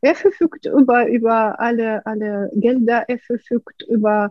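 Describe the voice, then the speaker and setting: Delivered at a fairly slow pace, this is a normal speaking voice. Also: woman. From Ukraine. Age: 50s. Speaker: artist and painting-method coach. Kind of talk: interview.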